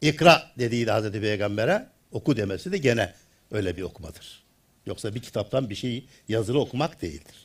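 In a somewhat breathy voice of medium pitch, a man speaks with lively intonation. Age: 70s. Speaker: retired theology professor. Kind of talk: lecture.

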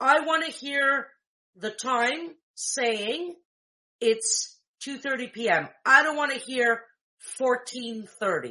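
With a raised, projected voice and a bright, sharp tone, a woman speaks at a high pitch and a very slow pace, with lively intonation and long, frequent pauses. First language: Greek. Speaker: tech tutorial host for blind users. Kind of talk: tutorial. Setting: screen-shared video call. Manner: casual, hesitant with fillers.

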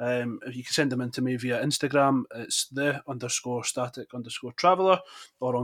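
A man speaks with a central Scottish accent. His pace is fairly quick and his pitch medium. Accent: Scottish, Falkirk. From Falkirk, Scotland. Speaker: podcast host. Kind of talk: casual interview.

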